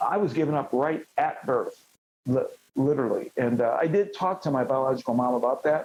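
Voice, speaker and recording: Fairly high in pitch, a man with an American accent speaks in a dark, mellow tone with lively intonation. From Cleveland, Ohio. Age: 60s. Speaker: former champion wrestler. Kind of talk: interview.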